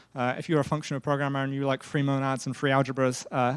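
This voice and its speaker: Very fast and with fairly even intonation, a man with a British accent speaks in a fairly high voice, recorded very cleanly with a silent background and a dry, close sound with no echo. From Britain. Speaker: software engineering lead. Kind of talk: tech conference talk. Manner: hesitant, many fillers.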